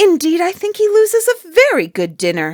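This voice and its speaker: A put-on character voice, squeaky and female-sounding, sits at an extremely high pitch for a woman and moves at a moderate pace. The recording is very clean, with a silent background. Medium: read story. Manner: lively, earnest.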